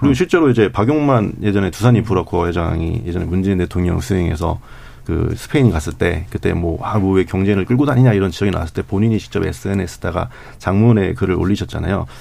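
A man's very fast, lively speech at fairly low pitch, with noticeable background noise. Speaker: newspaper reporter. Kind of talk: radio panel discussion.

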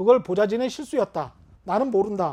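An animated man with a high pitch and lively intonation against a quiet background. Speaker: journalist and online show host. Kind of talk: solo live commentary on news. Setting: live YouTube stream. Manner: slowing down deliberately; animated, rhetorical questions.

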